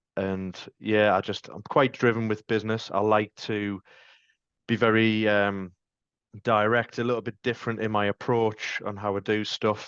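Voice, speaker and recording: A man with a Sunderland accent in a monotone, flat intonation, with a dry, close sound with no echo and a quiet background. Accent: Mackem (Sunderland). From North East England (Sunderland). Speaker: van fleet sales manager. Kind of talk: podcast interview. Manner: casual, many fillers.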